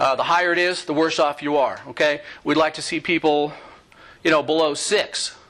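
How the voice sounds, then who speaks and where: A man speaks at a fairly high pitch with a bright, sharp tone. His intonation is monotone and flat. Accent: American. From New York. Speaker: physician. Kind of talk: lecture. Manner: fast.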